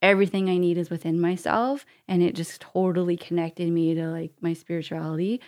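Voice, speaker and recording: A woman with an ordinary speaking voice talks at a fairly quick pace, barely pausing. Her pitch is fairly low and her intonation fairly even. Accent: Canadian. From Canada. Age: 40s. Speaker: charity founder and entrepreneur. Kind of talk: interview conversation. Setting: podcast studio.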